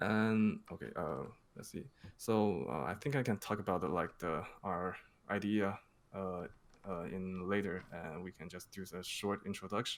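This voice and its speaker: A man speaks with a non-native accent. His pitch is very deep and low. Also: ordinary pitch variation, moderate pace. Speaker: crypto project marketing manager. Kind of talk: interview Q&A. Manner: halting, many fillers.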